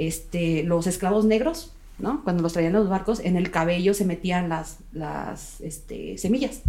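In an unremarkable speaking voice, a woman talks at a medium pitch and moderate pace with ordinary pitch variation. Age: 30s. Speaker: nun and cannabis legalization activist. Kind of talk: casual interview chat.

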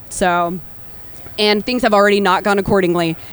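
A woman with an American accent, medium pitch and fairly even intonation, over noticeable background noise. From Texas. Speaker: brewer. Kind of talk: live panel interview. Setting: stage with audience at festival.

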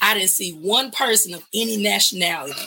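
A woman with a Southern US accent. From US South, West Memphis, Arkansas. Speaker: singer-songwriter. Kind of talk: casual chat.

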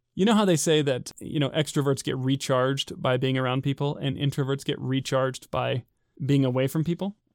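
With an American accent and an ordinary speaking voice, a man talks at a fairly quick pace and fairly high pitch with ordinary pitch variation, recorded dry and close with no echo in a very clean setting with a silent background. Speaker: podcast co-host, software engineer. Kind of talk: casual chat.

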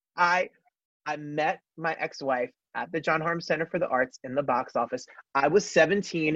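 In an American accent, this is a plain, everyday voice with ordinary pitch variation. The sound is dry and close, with no echo. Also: man, fairly high pitch for a man, moderate pace. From New Jersey. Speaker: singer and actor. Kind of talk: interview.

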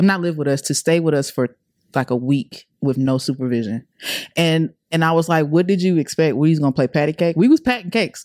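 Fairly quick and lively in intonation, a woman with an American accent speaks at a very deep, low pitch, dry and close with no echo. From US South, Atlanta. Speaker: podcast crew member and mother. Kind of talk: personal testimony.

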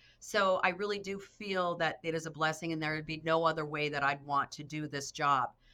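A woman's very deep, low voice with a bright, sharp tone, fairly even intonation, a fairly quick pace and hardly any pauses, in a very clean recording with a silent background. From North Dakota. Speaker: state education official. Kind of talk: interview conversation.

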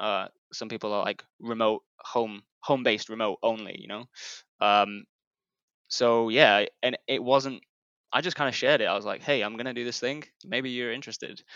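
In an ordinary speaking voice, a man talks at a moderate pace and medium pitch, with fairly even intonation and big swings in loudness. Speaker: newsletter founder. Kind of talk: casual interview chat.

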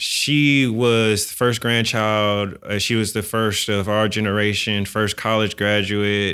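On a very clean recording with a silent background, a man with an American accent speaks at a very slow pace and fairly low pitch. His tone is bright and sharp, his loudness very even and his intonation monotone and flat. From San Francisco, US. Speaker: dentist. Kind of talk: interview. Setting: studio.

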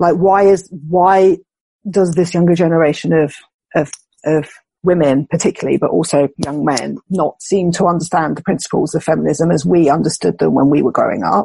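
A woman with a British accent speaks at a fairly low pitch in a dark, mellow tone with vocal fry, very even loudness, and fairly even intonation. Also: moderate pace. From UK. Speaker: philosopher and writer. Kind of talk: conversational interview.

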